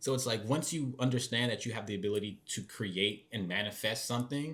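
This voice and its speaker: He speaks with an unremarkable speaking voice, pitched in the medium range with ordinary pitch variation. His delivery runs at a fairly quick pace. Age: 20s. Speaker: podcast co-host. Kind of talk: casual chat. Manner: rambling with many fillers.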